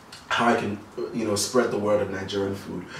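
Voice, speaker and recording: Fairly low-pitched male speech at a fairly quick pace with fairly even intonation, audible room echo and light background noise. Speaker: guest. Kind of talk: interview answer. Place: home room.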